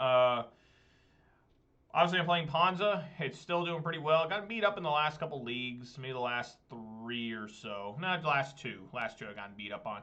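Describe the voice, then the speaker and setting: A man talks with a fairly high pitch. His loudness rises and falls in big swings. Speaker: gaming streamer. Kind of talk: gameplay commentary. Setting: live stream. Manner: fast; animated.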